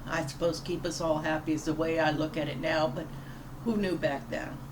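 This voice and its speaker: A woman with a Louisiana accent speaks in a very deep, low voice. The recording carries audible room echo and noticeable background noise. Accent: Southern US (Louisiana). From US South, Louisiana (Plaquemines Parish). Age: 60s. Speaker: pastor. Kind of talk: devotional talk. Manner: halting.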